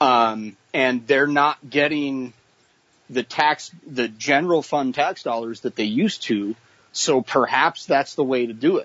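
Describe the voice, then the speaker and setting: At a fairly slow pace, this is a normal speaking voice with ordinary pitch variation. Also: man, medium pitch for a man. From Idaho, US (Boise). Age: 30s. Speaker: musician and wildland firefighter. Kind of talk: interview.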